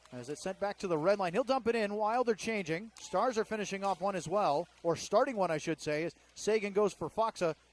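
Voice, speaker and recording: Words come at a fairly quick pace. There is no echo, and the sound is dry and close. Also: man. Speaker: hockey radio play-by-play announcer. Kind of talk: live sports play-by-play call. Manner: fast, fluent, energetic.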